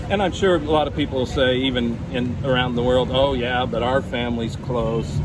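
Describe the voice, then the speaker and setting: A man with an American accent speaks with ordinary pitch variation. Noticeable background noise and audible room echo fill the recording. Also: medium pitch for a man, moderate pace. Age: 60s. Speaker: former missionary. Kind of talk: casual interview.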